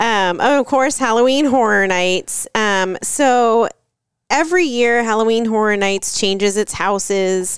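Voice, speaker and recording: A woman with an ordinary speaking voice and an American accent speaks fairly slowly at a fairly high pitch, with ordinary pitch variation and very even loudness, in a very clean recording with a silent background. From Florida. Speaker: travel podcast co-host. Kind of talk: casual chat.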